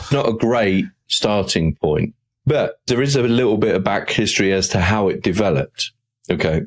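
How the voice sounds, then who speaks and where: A British accent at a moderate pace with lively intonation and very even loudness, in a dry, close sound with no echo. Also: man, fairly low pitch for a man. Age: 60s. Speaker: motivational speaker and podcaster. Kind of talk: interview. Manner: conversational.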